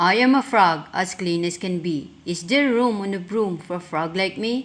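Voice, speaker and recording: A woman does a croaky put-on character voice at medium pitch and a moderate pace. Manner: polite, pleading.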